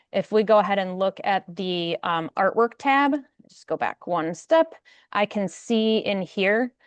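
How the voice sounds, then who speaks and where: Quiet background, dry and close sound with no echo. A woman speaks with ordinary pitch variation. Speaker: software product presenter. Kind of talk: webinar product demo. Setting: online webinar. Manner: fast.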